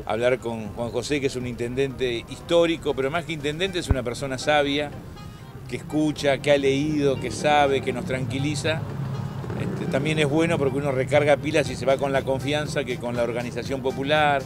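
Over clear background music, a man talks at a fairly quick pace in a dry sound with no echo. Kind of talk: interview answer. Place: street.

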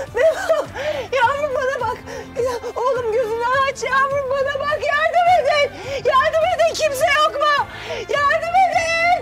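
Faint music plays in the background. Over it, a woman speaks at a very slow pace. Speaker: actress playing a mother. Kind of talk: dramatic acted dialogue.

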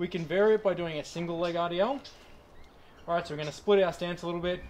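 A man speaks at a fairly quick pace with a high pitch. Light background noise is present. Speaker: personal trainer. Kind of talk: tutorial. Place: garden.

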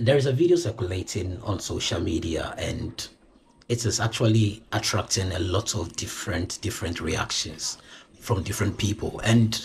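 Over light background noise, a man with a fairly low pitch sounds somewhat breathy, speaking at a moderate pace with lively intonation. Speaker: vlogger. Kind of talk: casual vlog chat. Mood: bemused, animated. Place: home room. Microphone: phone near.

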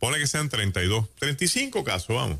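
Animated and fairly high-pitched, a man's voice has a bright, sharp tone, vocal fry and very wide pitch swings. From Puerto Rico. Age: 60s. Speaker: pastor. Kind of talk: radio talk show commentary. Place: studio. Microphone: studio mic.

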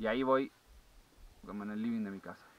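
With an Argentine accent, a man speaks at a fast pace. His pitch is fairly low, with ordinary variation.

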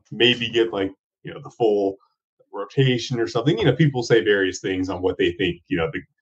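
Quiet surroundings behind a man speaking. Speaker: remote podcast guest. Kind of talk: interview answer. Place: home room. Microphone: video call.

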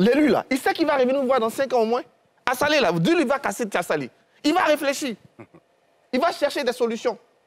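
A man speaks at a fairly quick pace with lively intonation and an extremely high pitch, his loudness very even. He leaves long, frequent pauses against a quiet background. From Côte d'Ivoire. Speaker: historian and security analyst; security analyst. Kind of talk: televised panel debate. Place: studio. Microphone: lapel.

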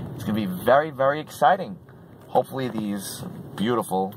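A man talks at a moderate pace with noticeable background noise. The sound is dry, with no echo. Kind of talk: casual vlog chat. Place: car. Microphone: phone near.

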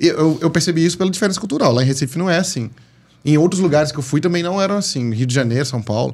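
A man with a fairly high pitch talks very fast, with ordinary pitch variation. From Brazilian Northeast. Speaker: comedian. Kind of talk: casual chat. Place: studio. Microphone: studio mic.

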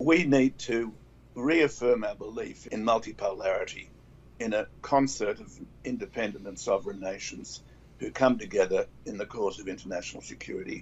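Over light background noise, a man with an Australian accent speaks at a moderate pace, his loudness swinging widely. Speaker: former diplomat; interview panelist. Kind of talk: panel discussion. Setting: video call. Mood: earnest, measured. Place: home room. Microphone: webcam.

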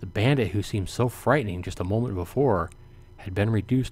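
Read aloud in a plain way, the voice shows ordinary pitch variation.

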